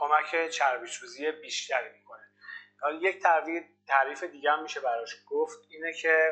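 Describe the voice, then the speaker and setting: Music plays in the background as a man speaks at a fairly high pitch. His loudness swings widely while his intonation stays fairly even. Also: moderate pace. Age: 30s. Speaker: fitness coach. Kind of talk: interview.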